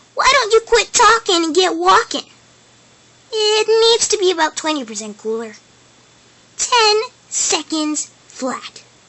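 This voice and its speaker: In a put-on character voice, a woman talks at an extremely high pitch and a fairly slow pace, with long, frequent pauses. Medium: voice reel. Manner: brash, energetic, boastful.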